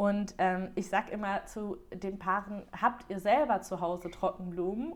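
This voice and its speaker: This is a normal speaking voice. The woman keeps to a moderate pace and a medium pitch. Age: 30s. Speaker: wedding stationery designer. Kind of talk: interview. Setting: podcast.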